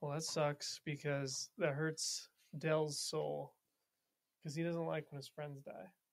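A normal speaking voice at a fairly slow pace, with fairly even intonation and a dry, close sound with no echo. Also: man, fairly high pitch for a man. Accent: American. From Montana, US. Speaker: military officer, D&D player. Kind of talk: casual chat with role-play.

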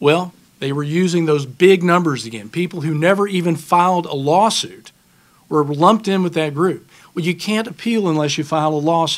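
A man talks in a high voice with ordinary pitch variation. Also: moderate pace. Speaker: panelist, report author. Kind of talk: panel presentation. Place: hall. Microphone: podium.

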